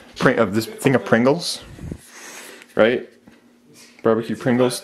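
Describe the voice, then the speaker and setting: There is light background noise behind a man speaking. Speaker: urban explorer narrator. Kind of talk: casual vlog chat. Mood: amazed, slightly wistful. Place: home room. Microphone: phone near.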